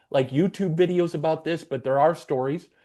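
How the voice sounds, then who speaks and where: The background is quiet as a man talks at a fairly quick pace. His tone is dark and mellow. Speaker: podcast host. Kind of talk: casual chat.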